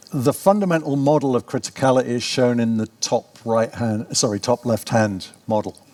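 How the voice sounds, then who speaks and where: A man speaks at a moderate pace with ordinary pitch variation, his voice dry and close with no echo. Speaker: professor. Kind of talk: conference talk.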